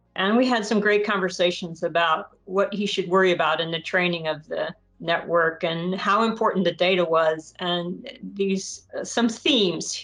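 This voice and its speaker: Over music in the background, a woman talks at a moderate pace with a medium pitch and ordinary pitch variation. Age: 50s. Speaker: bioengineering researcher and startup advisor. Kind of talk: podcast interview. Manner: halting.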